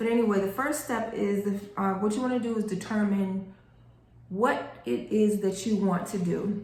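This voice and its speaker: Moderate pace, ordinary pitch variation, a woman at medium pitch, audible room echo and noticeable background noise. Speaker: grant writing instructor. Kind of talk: tutorial. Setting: recorded video reading notes. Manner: casual, with many fillers.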